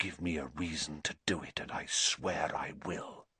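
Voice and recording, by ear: A man puts on a character voice at an extremely low pitch, with a bright, sharp tone and a husky, rough edge. He talks at a fairly slow pace with fairly even intonation. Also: dry, close sound with no echo.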